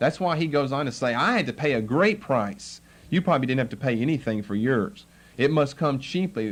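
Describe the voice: The delivery is plain reading aloud. Its intonation is lively.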